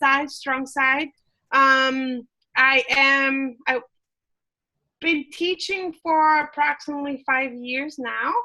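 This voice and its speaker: A woman projects a raised voice with a high pitch and a bright, sharp tone. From Mexico, Chihuahua. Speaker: culinary instructor. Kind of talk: online class introduction.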